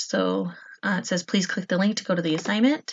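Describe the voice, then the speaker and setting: A woman's medium-pitched voice comes through somewhat breathy. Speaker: fourth grade teacher. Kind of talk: tutorial screen walkthrough for students.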